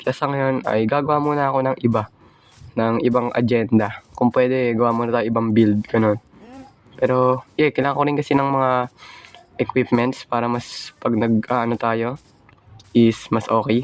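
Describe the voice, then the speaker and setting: Speaking at a medium pitch, the man keeps a monotone, flat intonation. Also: moderate pace. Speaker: gaming YouTuber. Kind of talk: gameplay commentary. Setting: recording at home.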